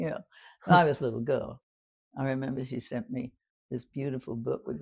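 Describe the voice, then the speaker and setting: A woman talks at a fairly quick pace in a very deep, low pitch with vocal fry. Her speech has long, frequent pauses. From London, England. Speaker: WWII Blitz survivor. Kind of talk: interview answer.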